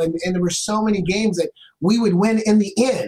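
Speaking in an American accent, a man keeps his intonation fairly even. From Portland, Oregon, US. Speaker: former NFL player, motivational speaker. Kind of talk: interview. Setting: live stream.

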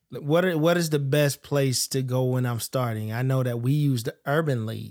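Recorded very cleanly against a silent background, a man with medium pitch uses a plain, everyday voice with fairly even intonation. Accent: American. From US South, Florida Panhandle. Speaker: podcast host. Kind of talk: casual chat.

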